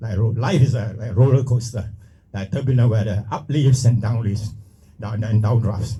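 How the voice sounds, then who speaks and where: Somewhat breathy and dark and mellow in tone, a man speaks at a medium pitch and moderate pace with fairly even intonation. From Singapore. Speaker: retired pilot and speaker. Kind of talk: motivational talk. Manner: halting.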